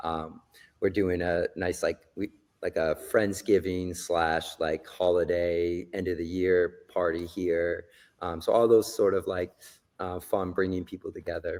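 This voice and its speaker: A man's voice sits very deep and low, with monotone, flat intonation at a fairly slow pace. It is a very clean recording, silent background. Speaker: gym owner and coach. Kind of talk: podcast interview. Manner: casual, many fillers.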